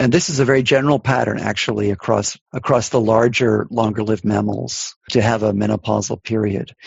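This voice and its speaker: Vocal fry from a man, fairly even in intonation. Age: 60s. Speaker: evolutionary biology professor. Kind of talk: interview.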